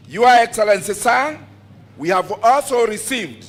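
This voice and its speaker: A man with a high pitch speaks with a Kenyan accent. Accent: Kenyan, Kikuyu-accented English. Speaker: agricultural show branch chairman. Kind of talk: formal speech at public event. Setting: PA system, outdoors.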